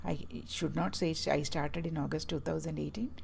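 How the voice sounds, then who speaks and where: With a Keralan accent, a woman speaks amid audible room echo. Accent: Indian English (Malayali). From Kerala, South India. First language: Malayalam. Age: 60s. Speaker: health vlogger. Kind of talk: personal talk to camera. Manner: halting, with many fillers.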